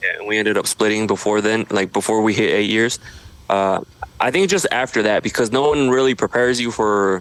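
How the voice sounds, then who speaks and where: A man with an American accent uses a normal speaking voice at medium pitch, with ordinary pitch variation and a fairly quick pace. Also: very even loudness. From Idaho, US. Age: 30s. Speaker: social media creator. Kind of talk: podcast interview. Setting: home studio.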